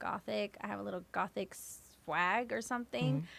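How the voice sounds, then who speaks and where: A woman speaks with a bright, sharp tone and a Californian accent on a very clean recording with a silent background. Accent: Californian American. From San Francisco Bay Area, US West Coast. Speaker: hip-hop artist. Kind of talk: interview.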